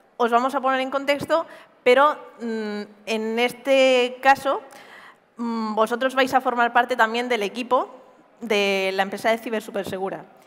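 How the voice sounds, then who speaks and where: Speaking at a fairly slow pace, a woman uses a high-pitched voice. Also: ordinary pitch variation. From Spain, Murcia; Spain. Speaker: cybersecurity pentester; conference presenter. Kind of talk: conference talk. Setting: stage with audience. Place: stage. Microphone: headset.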